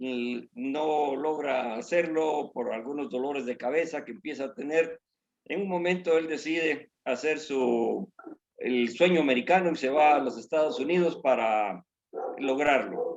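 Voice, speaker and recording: A man with a rather high voice talks fairly slowly, his pitch moving in a normal way. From Guatemala. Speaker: church member. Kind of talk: testimony. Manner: halting.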